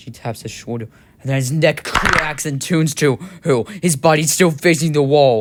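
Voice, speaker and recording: Over noticeable background noise, a man with a fairly high pitch talks at a moderate pace, his loudness swinging widely and his pitch varying in an ordinary way. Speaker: voice actor. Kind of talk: horror story narration.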